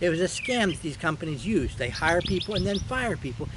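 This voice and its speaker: Against noticeable background noise, a man with a high pitch talks at a fairly quick pace, his pitch swinging very widely. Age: 70s. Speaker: YouTuber. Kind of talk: monologue. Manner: halting, with fillers.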